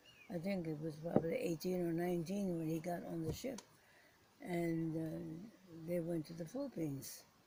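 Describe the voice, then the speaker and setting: A woman speaks at a moderate pace in a fairly low pitch, with ordinary pitch variation and noticeable background noise. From Philippines. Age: 80s+. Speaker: war survivor, former prisoner of war. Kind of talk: interview answer.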